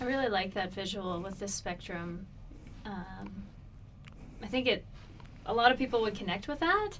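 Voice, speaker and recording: At a moderate pace broken by long, frequent pauses, a woman speaks at a medium pitch with ordinary pitch variation. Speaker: interview show host. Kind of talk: interview.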